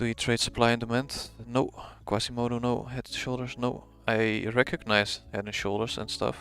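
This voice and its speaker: In a strong Dutch accent, a man speaks at a moderate pace and medium pitch. His intonation is monotone and flat, with music in the background. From Netherlands. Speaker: forex trader streaming live. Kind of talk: live trading stream, casual commentary. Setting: live stream.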